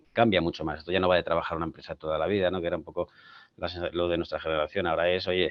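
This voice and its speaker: A man speaks with a very deep, low pitch. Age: 50s. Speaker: tech company CEO. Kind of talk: panel discussion. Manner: halting.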